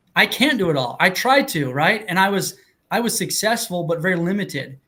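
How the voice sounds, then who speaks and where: A man with a high pitch raises and projects his voice in a bright, sharp tone. He moves at a fairly quick pace with lively intonation. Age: 40s. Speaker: real estate investor podcast co-host. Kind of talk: casual panel discussion.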